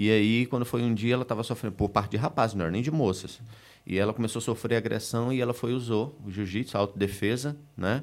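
A man with a medium-pitched voice speaks at a very fast pace with fairly even intonation. The recording is very clean, with a silent background. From Recife, northeast Brazil. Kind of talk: casual chat.

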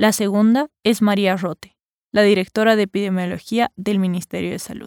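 A woman speaks in an ordinary speaking voice at a medium pitch and a moderate pace. The recording is very clean, with a silent background and a dry, close sound with no echo. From Bolivia. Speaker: podcast host. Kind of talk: scripted narration.

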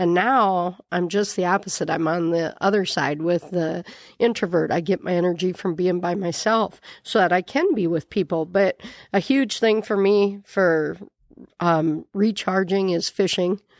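A woman speaks at a medium pitch and a moderate pace, with an Upper Midwest accent. The recording is very clean with a silent background. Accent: Upper Midwest American. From South Dakota, Miller. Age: 50s. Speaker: nun, prioress of a monastery. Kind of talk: interview conversation. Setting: studio in a bar.

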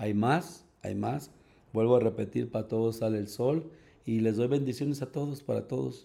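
Ordinary pitch variation and a moderate pace mark this dark, mellow tone. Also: man, medium pitch for a man. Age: 50s. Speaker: gym owner and bodybuilding coach. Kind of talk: casual interview. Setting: studio with host, masks removed.

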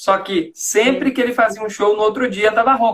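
With a slight Florianópolis accent, a man talks at a fairly quick pace in a high pitch. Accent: slight manezinho (Florianópolis). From Greater Florianópolis, Santa Catarina, Brazil. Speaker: communication coach and live stream host. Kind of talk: interview. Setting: Instagram live video call.

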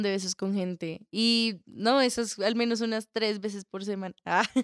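A woman speaks at a fairly high pitch with a slight Colombian accent. The sound is dry and close with no echo, on a very clean recording with a silent background. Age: young. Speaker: theatre student and call center agent. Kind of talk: interview.

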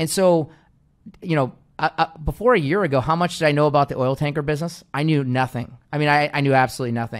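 Speaking very fast, a man uses a fairly high pitch. His pitch variation is ordinary. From US Pacific Northwest, Seattle. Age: 30s. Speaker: investment firm CEO. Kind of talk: interview. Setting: video call.

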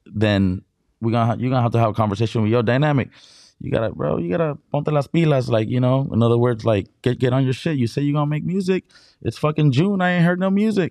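Against a quiet background, a man with a dark, mellow tone talks very fast, his pitch swinging very widely. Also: medium pitch for a man. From Imperial Valley, California (born in Mexicali, Mexico). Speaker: DJ. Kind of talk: casual interview.

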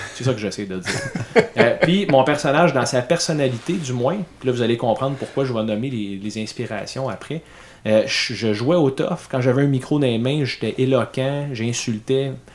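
A man of medium pitch with a Quebec accent. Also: ordinary pitch variation, moderate pace. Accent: Québécois French. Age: 30s. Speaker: podcast host. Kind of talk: casual chat.

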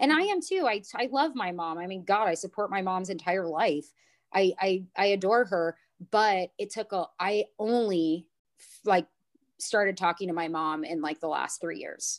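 Recorded very cleanly against a silent background, a woman at medium pitch speaks at a moderate pace with ordinary pitch variation in an ordinary speaking voice. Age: 30s. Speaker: yoga studio owner and trauma educator. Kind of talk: interview.

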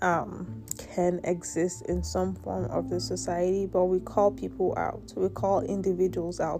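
Someone with an American accent speaks at a fairly slow pace with very wide pitch swings, backed by music. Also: woman, very deep, low pitch for a woman. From Nigeria. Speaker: podcast host. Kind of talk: solo monologue podcast. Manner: casual, with frequent filler words.

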